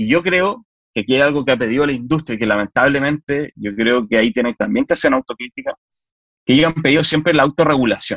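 Speaking very fast, a man uses a fairly high pitch and lively intonation. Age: 40s. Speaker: politician. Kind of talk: interview. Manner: halting.

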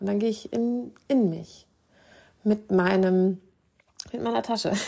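The voice has a warm tone and lively intonation. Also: woman. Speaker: podcast host and meditation guide. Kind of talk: guided meditation. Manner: soothing, calm, gentle and slow-paced with long pauses; warm, intimate and reassuring.

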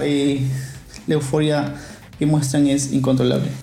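A man with a Peruvian accent talks at a fairly quick pace in a monotone, flat intonation. The room echo is audible, and background noise is noticeable. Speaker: podcast host. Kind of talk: podcast monologue.

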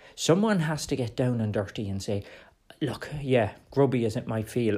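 In an Irish accent, a man speaks at a moderate pace with a dark, mellow tone and ordinary pitch variation. The recording is very clean with a silent background. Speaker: political podcast host. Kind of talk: solo political commentary.

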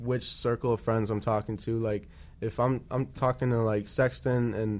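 With an American accent, a man speaks at a moderate pace and medium pitch in a plain, everyday voice with fairly even intonation. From Chicago northwest suburbs, Illinois. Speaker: rapper guest. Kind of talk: casual radio chat. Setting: radio studio.

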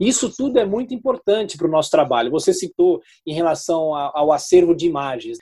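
His delivery runs fairly quick. This man barely stops between phrases. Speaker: radio journalist and news anchor. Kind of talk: interview.

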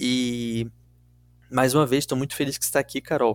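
Speaking at a moderate pace and medium pitch, a man holds a monotone, flat intonation in a very clean recording with a silent background and a dry, close sound with no echo. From Rio de Janeiro city, Brazil. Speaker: true crime podcast host. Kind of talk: storytelling podcast chat.

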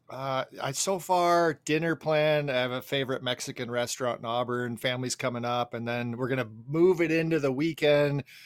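An ordinary speaking voice moves at a moderate pace with hardly any pauses and ordinary pitch variation. The recording is very clean, with a silent background. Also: man, medium pitch for a man. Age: 50s. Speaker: fishing podcast co-host. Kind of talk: casual chat.

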